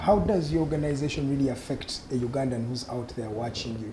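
Very rapid male speech amid noticeable background noise. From Uganda. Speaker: TV talk show host. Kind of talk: political panel debate moderation. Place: studio. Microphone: lapel.

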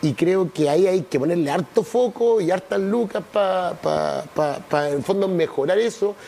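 A man with a Chilean accent and a dark, mellow tone speaks at a high pitch with ordinary pitch variation, keeping a moderate pace with hardly any pauses. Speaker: city councillor. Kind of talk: TV interview. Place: studio. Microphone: lapel.

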